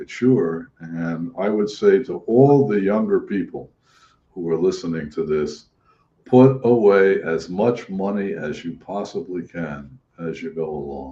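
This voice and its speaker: A man talks at a fairly low pitch and a fairly slow pace, his tone dark and mellow. His intonation is lively, and his loudness swings widely. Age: 80s+. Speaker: social worker. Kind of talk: casual chat. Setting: live stream.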